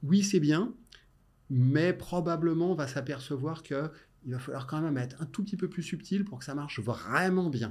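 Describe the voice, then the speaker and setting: On a very clean recording with a silent background, a man talks in an ordinary speaking voice at a fairly high pitch, at a moderate pace, with ordinary pitch variation. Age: 50s. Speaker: tech innovation director. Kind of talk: interview.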